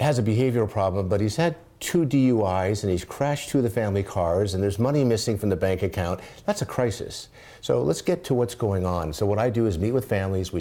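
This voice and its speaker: A man with an American accent talks at a very fast pace in a dark, mellow tone with fairly low pitch. His intonation is lively and his loudness very even. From US West Coast (San Diego). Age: 60s. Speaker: addiction recovery crisis coach. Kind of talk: interview. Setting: live streamed show.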